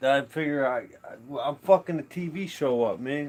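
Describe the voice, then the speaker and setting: A fairly high-pitched man at a moderate pace, with ordinary pitch variation, over noticeable background noise. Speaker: livestreamer. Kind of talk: casual livestream chat. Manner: repetitive stammering.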